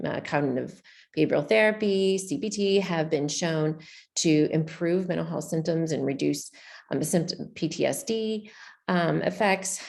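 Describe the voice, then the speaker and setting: Audible room echo carries a woman's voice with an American accent, a fairly low pitch and lively intonation. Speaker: public health researcher. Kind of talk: conference presentation.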